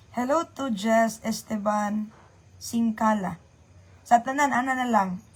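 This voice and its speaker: Somewhat breathy, a woman speaks at a fairly high pitch and a very slow pace. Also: ordinary pitch variation. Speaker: livestreamer. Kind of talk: casual livestream chat. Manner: chatty, greeting viewers by name.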